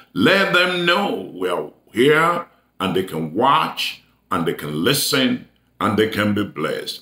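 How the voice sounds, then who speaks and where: A man speaks with audible room echo around him. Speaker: preacher. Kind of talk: sermon announcements to online viewers.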